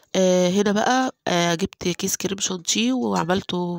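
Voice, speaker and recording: A medium-pitched woman's voice with an Egyptian accent, recorded dry and close with no echo. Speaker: home cooking vlogger. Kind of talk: cooking tutorial. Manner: casual, with many fillers.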